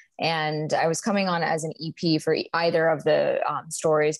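A woman speaks in a very deep, low voice with ordinary pitch variation. The sound is dry with no echo, and the background is quiet. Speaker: actress, guest. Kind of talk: interview answer. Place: home room. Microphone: video call.

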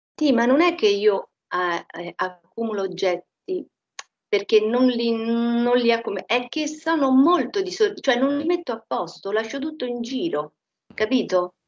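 Against a quiet background, a woman with a high pitch speaks fairly slowly, her voice making very wide pitch swings. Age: 60s. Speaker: hypnosis session client. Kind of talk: personal testimony. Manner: halting. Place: home room. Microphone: echo from computer volume; headset.

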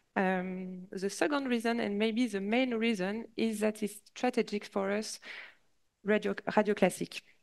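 Fairly even intonation at a fairly slow pace, with a French accent. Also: woman, quiet background. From France. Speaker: radio executive. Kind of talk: conference presentation. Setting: stage with audience. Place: hall. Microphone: headset.

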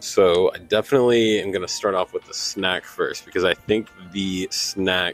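Faint background music and a dry sound with no echo. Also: man. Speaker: vlogger. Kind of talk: casual vlog chat. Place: station. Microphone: handheld.

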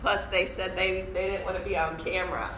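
A woman talks while noticeable background noise carries on. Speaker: yoga teacher. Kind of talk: casual chat to viewers of a live stream. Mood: cheerful, laughing. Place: meeting room. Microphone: camera far.

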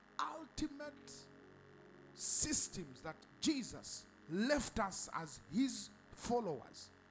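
Music plays behind a man with an extremely high pitch. His voice swings very widely up and down. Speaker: preacher. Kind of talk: sermon. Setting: church. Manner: animated; call-and-response, repetitive.

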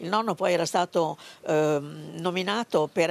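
A woman speaks fairly slowly with vocal fry and fairly even intonation. The sound is dry and close, with no echo. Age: 80s+. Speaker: granddaughter of a labour activist. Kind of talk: interview. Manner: halting.

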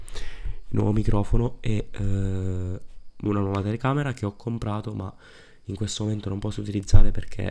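A man speaks quietly in a dark, mellow tone with monotone, flat intonation. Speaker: football YouTuber. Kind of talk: casual talk to camera. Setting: recorded at night at home. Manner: quiet, low voice. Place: home room. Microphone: studio mic.

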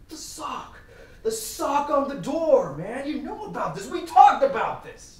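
A man puts on a character voice at an extremely high pitch, slightly mellow in tone, with big pitch swings at a fairly slow pace. Strong room echo surrounds it.

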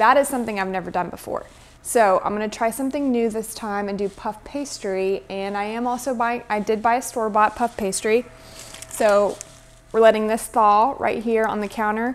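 This woman's intonation is fairly even, and her pace is moderate. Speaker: home cook vlogger. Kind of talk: casual vlog chat. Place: kitchen. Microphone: camera far.

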